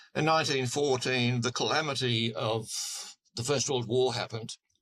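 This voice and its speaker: A bright, sharp tone delivered with an Australian accent. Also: man. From Queensland, Australia. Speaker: political commentator. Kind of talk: interview. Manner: halting, with repeated words.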